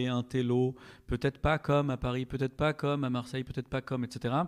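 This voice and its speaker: The speaker has a normal speaking voice. The recording is very clean, with a silent background. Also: man. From France, Strasbourg (Alsace). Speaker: podcast guest. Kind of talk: casual chat.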